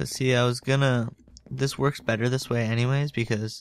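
A man speaks quietly with fairly even intonation on a very clean recording with a silent background. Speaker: gaming video creator. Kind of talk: gameplay commentary. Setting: home recording late at night. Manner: quiet, low voice. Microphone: new microphone.

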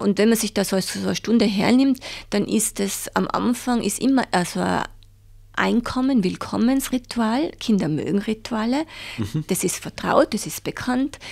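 With an ordinary speaking voice, a woman talks at a moderate pace with lively intonation in a very clean recording with a silent background. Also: fairly high pitch for a woman. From Tyrol, Austria (Reith bei Seefeld). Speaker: head of a child support organisation. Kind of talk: interview.

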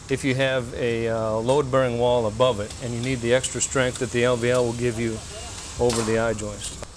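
Clearly audible background noise surrounds a man talking at an average speed. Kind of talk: interview answer. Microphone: lapel.

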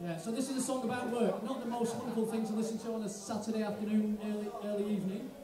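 Audible room echo colors a high-pitched man's voice. He speaks at a fast pace with fairly even intonation.

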